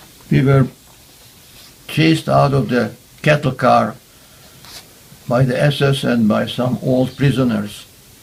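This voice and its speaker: A Hungarian accent at a fairly slow pace, with long, frequent pauses, very even loudness and fairly even intonation. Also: man, medium pitch for a man. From Hungary. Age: 90s. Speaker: Holocaust survivor. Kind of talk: testimony.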